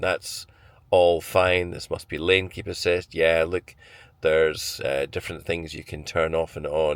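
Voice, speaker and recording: On a very clean recording with a silent background, a man with a Scottish accent speaks in a very deep, low pitch. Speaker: car reviewer. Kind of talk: vlog walkthrough. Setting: in a car. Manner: conversational with hesitations.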